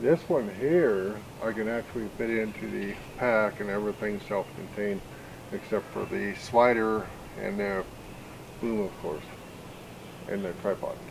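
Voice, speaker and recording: A man talks at a fairly slow pace with a fairly low pitch. Noticeable background noise runs underneath. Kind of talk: casual gear demo chat. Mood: relaxed, wry. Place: garden. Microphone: studio mic.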